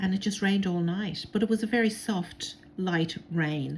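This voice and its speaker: A woman speaks with a somewhat breathy quality. Her pitch sits fairly low for a woman. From Ireland. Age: 60s. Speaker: crafter. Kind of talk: tutorial. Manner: casual, many filler words.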